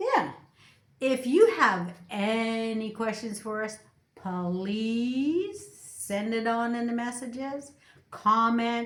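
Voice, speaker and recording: Audible room echo follows a woman speaking at a very slow pace, her fairly high pitch showing ordinary variation. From Canada. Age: 60s. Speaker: YouTuber. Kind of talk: casual chat.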